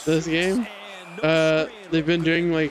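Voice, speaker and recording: Speaking at a very slow pace over noticeable background noise, a man uses a high pitch. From Canada. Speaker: streamer. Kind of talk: casual chat.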